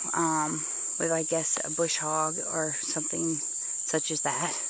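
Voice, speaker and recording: The pace is moderate. The sound is dry with no echo. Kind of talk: casual vlog chat. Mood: relaxed, pleased. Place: open country.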